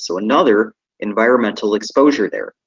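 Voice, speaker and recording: A man speaks with an American accent. He has a normal speaking voice. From Michigan, US. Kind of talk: lecture. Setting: live webinar.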